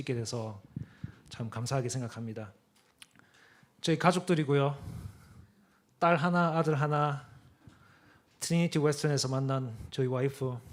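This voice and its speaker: At a moderate pace, a man speaks with a Gyeongsang accent at a medium pitch and with ordinary pitch variation. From Korea, Daegu (Gyeongsang). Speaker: apologetics speaker, guest preacher. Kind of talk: sermon.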